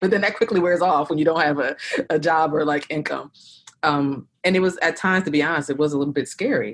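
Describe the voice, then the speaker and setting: A woman speaks with a Philadelphia accent. Her pitch is very deep and low. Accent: Philadelphia-area American. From South Jersey, near Philadelphia. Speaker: therapist and practice owner. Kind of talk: interview.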